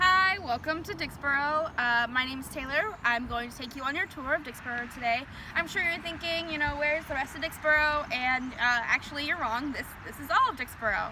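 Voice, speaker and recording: Speaking with a high pitch in a raised, projected voice, a woman barely pauses while her loudness swings widely over noticeable background noise. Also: ordinary pitch variation, fairly quick pace. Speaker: tour guide. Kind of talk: guided tour talk. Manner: fast; not loud.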